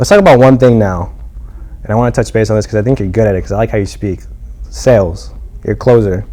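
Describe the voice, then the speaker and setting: Very fast male voice over noticeable background noise. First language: not English. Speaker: podcast host. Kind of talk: casual interview chat.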